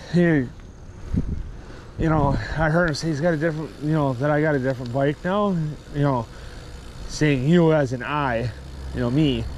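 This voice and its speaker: Fairly high-pitched man with fairly even intonation, audible room echo and noticeable background noise. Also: moderate pace. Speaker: cycling vlogger. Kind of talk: casual vlog monologue. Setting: outdoors by a parking lot. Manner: loud; rambling with fillers.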